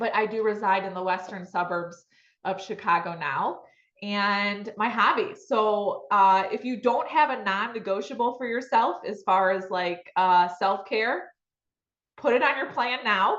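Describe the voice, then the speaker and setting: A woman with an American accent uses a normal speaking voice at a medium pitch, ordinary pitch variation and a fairly slow pace. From Michigan, US Midwest. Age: 40s. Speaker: real estate agent. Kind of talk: webinar presentation.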